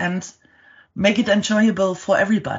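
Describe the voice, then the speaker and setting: A woman speaks with a German accent. Her voice is fairly high and somewhat breathy. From Germany. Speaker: storytelling company co-founder. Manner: halting, with fillers and repeated words.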